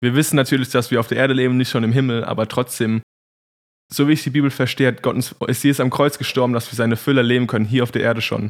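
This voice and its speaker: His delivery is very fast. A man speaks in a monotone, flat intonation. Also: medium pitch for a man. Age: 20s. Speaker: Bible school student. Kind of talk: faith testimony in podcast conversation.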